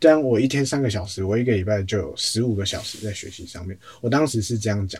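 A man speaks at a very fast pace, his voice somewhat breathy. His loudness swings a lot, and audible room echo fills the recording. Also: medium pitch for a man, ordinary pitch variation. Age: 20s. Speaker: social media editor at a mindfulness centre. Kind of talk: interview.

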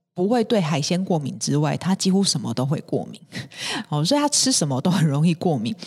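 A woman speaks at a fairly quick pace in a Taiwanese accent, her fairly low voice somewhat breathy. Her pitch swings very widely. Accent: Taiwanese Mandarin. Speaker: podcast host. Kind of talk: health tips talk. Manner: many fillers and hesitations.

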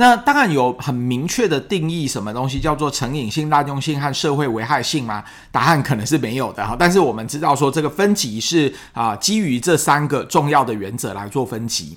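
With hardly any pauses, a man speaks in an ordinary speaking voice at a fairly high pitch, fairly quickly and with lively intonation. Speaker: psychiatrist podcast host. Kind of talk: solo science explainer. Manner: conversational with frequent fillers.

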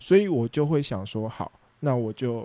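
A man with a Taiwanese accent speaks at a moderate pace with lively intonation and a dark, mellow tone. The recording is very clean, with a silent background. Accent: Taiwanese Mandarin. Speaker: food truck owner and podcast host. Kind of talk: casual solo talk with live chat.

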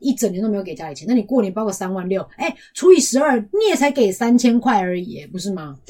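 A woman's very fast, somewhat breathy voice, fairly high in pitch, with very wide pitch swings, a dark, mellow tone and hardly any pauses. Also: big swings in loudness. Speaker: podcast co-host. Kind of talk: casual chat.

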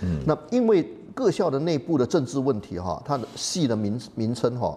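A man's unremarkable speaking voice, medium in pitch, with lively intonation at a moderate pace. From Malaysia. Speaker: professor. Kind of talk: interview.

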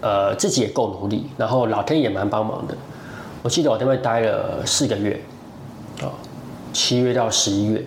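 Fairly quick speech from a man broken by long, frequent pauses, with audible room echo and noticeable background noise. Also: medium pitch for a man, ordinary pitch variation. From Taiwan. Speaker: beekeeping teacher. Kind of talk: interview.

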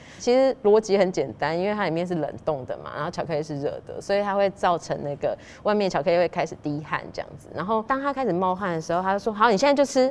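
A woman at a very fast pace, with lively intonation. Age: 40s. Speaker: pastry chef and shop owner. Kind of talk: interview storytelling. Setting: in a dessert shop.

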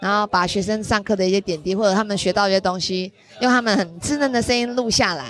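Noticeable background noise surrounds a woman speaking at a very fast pace. Her pitch is medium, with ordinary pitch variation. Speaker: teacher, podcast student. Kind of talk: casual interview. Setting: noisy restaurant gathering.

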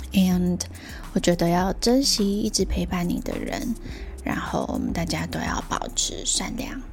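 With noticeable background noise, a woman speaks in a relaxed tone at a fairly slow pace. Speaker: solo podcast host. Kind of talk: casual solo monologue. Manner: relaxed, many filler words.

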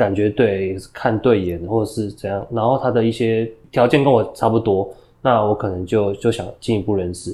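Against a quiet background, the voice has a dark, mellow tone, fairly even intonation and a moderate pace. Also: man, fairly low pitch for a man. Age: 30s. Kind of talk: interview. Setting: studio. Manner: halting.

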